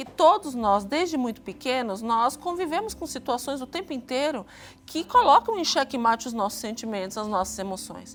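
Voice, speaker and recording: This woman talks at a moderate pace. Her pitch is high and her intonation lively. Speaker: psychologist, TV guest expert. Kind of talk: expert explanation on TV talk show.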